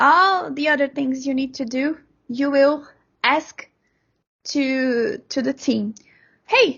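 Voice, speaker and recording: This woman has a Brazilian accent and a high voice. She talks very slowly, with ordinary pitch variation. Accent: Brazilian-accented English, non-native. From Brazil, Sao Paulo. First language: Portuguese. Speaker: software developer. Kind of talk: interview. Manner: halting, frequent repetitions.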